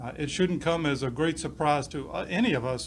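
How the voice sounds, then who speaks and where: Amid audible room echo, a man talks in a fairly high voice at a fairly quick pace. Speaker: police chief. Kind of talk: press conference speech. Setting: press conference.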